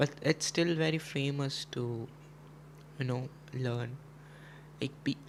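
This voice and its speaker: A man with a Gujarati accent speaks very slowly at a fairly high pitch, his intonation fairly even and his speech broken by long, frequent pauses. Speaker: chess streamer. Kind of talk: casual live stream chat. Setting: live stream.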